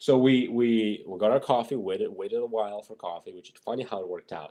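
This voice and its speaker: A man speaks with a Russian accent. He talks at a fairly quick pace. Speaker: fitness and gaming podcast co-host. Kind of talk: casual chat.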